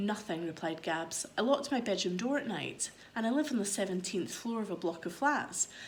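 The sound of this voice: The intonation is lively as an unforced reading voice goes through the text.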